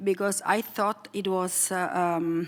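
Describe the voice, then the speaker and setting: A woman speaks at a fairly slow pace with fairly even intonation and a medium pitch. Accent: Italian. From Italy. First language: Italian. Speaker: foundation president. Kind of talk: panel discussion. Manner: hesitant, many fillers.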